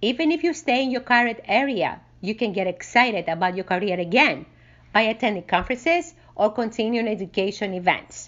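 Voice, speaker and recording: At a moderate pace, a woman speaks with fairly high pitch and very wide pitch swings. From Greece. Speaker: special education teacher, behavior therapist. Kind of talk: structured debate. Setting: remote recording.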